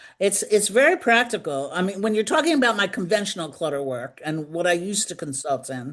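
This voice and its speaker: A woman with an American accent speaks at a fairly quick pace in a medium pitch, with very wide pitch swings, over a quiet background. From New York. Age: 70s. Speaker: decluttering consultant and author. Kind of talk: interview.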